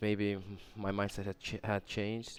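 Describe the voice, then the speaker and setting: Recorded very cleanly over a silent background, a man with a Turkish accent speaks at a fairly low pitch. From Turkey. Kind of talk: casual podcast ramble. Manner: rambling, hesitant.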